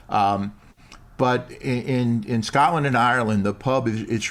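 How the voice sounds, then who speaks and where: A man with a plain, everyday voice and an American accent, at a medium pitch with fairly even intonation. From New York. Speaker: improv performer and coach. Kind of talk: casual interview chat.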